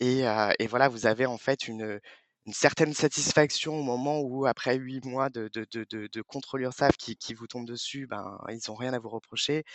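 A man talks at a fairly slow pace with fairly even intonation. His loudness swings widely. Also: medium pitch for a man. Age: 30s. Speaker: payroll manager. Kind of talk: interview. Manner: halting.

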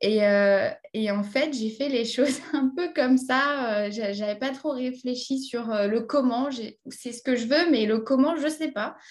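A woman talks at a very slow pace with hardly any pauses. Her voice is high with ordinary pitch variation. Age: 20s. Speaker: English trainer and online entrepreneur. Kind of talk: interview. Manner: halting, many repetitions.

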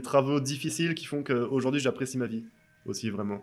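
A man speaks at a moderate pace with a medium pitch and ordinary pitch variation. Music plays in the background. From France. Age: 30s. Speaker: tattoo artist. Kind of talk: casual interview. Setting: tattoo shop.

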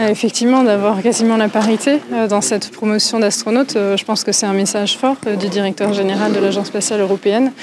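A woman speaks at a fairly quick pace in a medium voice, with fairly even intonation and very even loudness. Noticeable background noise runs behind her. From France. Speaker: astronaut candidate. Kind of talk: press interview.

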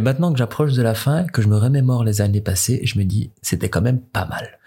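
This man's voice sits at a medium pitch and is somewhat breathy. His intonation is lively. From Morocco. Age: 20s. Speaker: foreign student. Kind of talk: interview.

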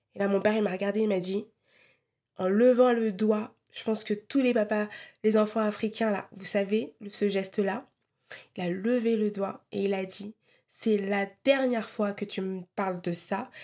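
Her tone is dark and mellow, her intonation fairly even. The woman is heard in a very clean recording with a silent background. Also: medium pitch for a woman. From Europe, Congolese heritage. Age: 30s. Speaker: podcast host. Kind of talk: solo personal monologue. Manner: casual, hesitant with fillers.

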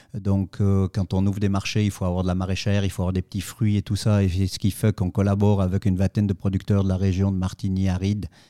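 On a very clean recording with a silent background and a dry, close sound with no echo, a man speaks at a very fast pace in a dark, mellow tone, fairly low in pitch, with monotone, flat intonation. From Switzerland, Valais (Saillon). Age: 50s. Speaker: fruit juice company director. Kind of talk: interview. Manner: hesitant, many fillers and repetitions.

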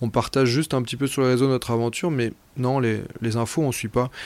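At a very fast pace, a man speaks at medium pitch. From Brittany, France. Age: 30s. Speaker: amateur athlete and adventurer. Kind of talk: personal testimony narration. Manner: halting, with frequent repetitions and fillers.

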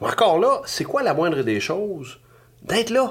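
Speech comes at a very slow pace in a Quebec accent, with lively intonation. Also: man. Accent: Québécois French. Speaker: business coach. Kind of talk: podcast monologue. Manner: animated.

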